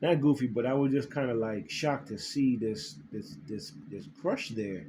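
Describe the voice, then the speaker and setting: With a dark, mellow tone and a somewhat breathy quality, a man speaks at a medium pitch and a moderate pace, his pitch swinging very widely. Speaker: spiritual vlogger. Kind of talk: casual monologue to camera, recounting a dream. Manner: halting, many repetitions and fillers.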